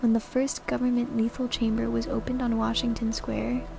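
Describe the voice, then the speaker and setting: A soft-spoken woman talks at a fairly quick pace over noticeable background noise. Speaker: VTuber streamer. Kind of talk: book reading.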